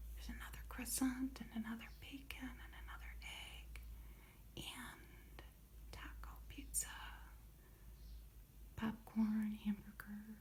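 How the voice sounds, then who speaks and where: Soft-spoken and calm in tone, a woman talks at a fairly slow pace with long, frequent pauses and big swings in loudness. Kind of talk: ASMR show and tell. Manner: soft-spoken, calm.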